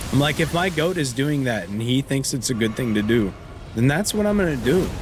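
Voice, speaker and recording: A man at medium pitch speaks at a fairly quick pace with very wide pitch swings. Noticeable background noise and audible room echo fill the recording. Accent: American. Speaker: video game streamer. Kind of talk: casual chat while live-streaming a game. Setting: live stream with face cam.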